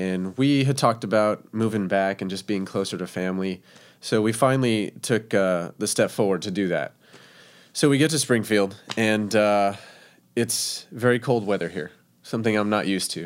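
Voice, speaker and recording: In a very clean recording with a silent background, a man with a plain, everyday voice speaks at a moderate pace, his fairly low pitch showing ordinary variation. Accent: American. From Texas, El Paso. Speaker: chef, food truck owner. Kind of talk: casual interview chat.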